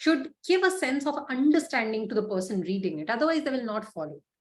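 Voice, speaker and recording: Audible room echo surrounds a woman speaking at a fairly quick pace. Her high voice has very wide pitch swings. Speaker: LinkedIn coach and freelancer. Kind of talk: online masterclass lecture. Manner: fast.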